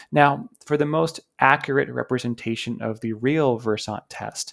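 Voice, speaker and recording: The recording is very clean, with a silent background, as a man speaks in an unremarkable speaking voice at medium pitch. He keeps a moderate pace with ordinary pitch variation. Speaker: English coach. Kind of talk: tutorial talk to camera.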